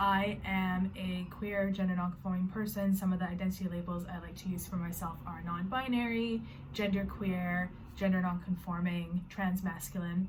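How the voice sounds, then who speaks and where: With a Canadian accent, a woman speaks at a moderate pace in a medium pitch and a monotone, flat intonation, with audible room echo. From Canada. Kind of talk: personal vlog introduction. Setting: bedroom.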